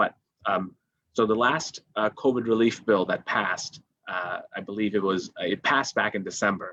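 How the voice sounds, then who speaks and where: A man with a medium pitch speaks in a bright, sharp tone. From India. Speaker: legal aid attorney. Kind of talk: live webinar interview.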